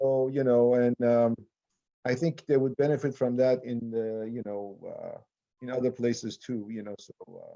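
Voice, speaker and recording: A medium-pitched man's voice, dark and mellow in tone, with fairly even intonation and big swings in loudness. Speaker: IT team leader and presenter. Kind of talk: casual chat before video call presentation. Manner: fast.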